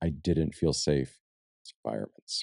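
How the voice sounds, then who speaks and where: Soft-spoken, a man speaks at a very deep, low pitch and a moderate pace, with ordinary pitch variation. His tone is dark and mellow, and the sound is dry and close with no echo. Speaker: podcast host. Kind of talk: casual podcast conversation. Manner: quiet, does not carry.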